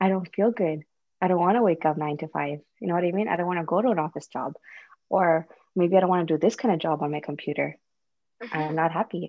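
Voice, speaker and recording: A woman with a fairly low voice and ordinary pitch variation speaks at a very fast pace, broken by long, frequent pauses. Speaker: podcast guest, mother of two. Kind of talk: casual chat.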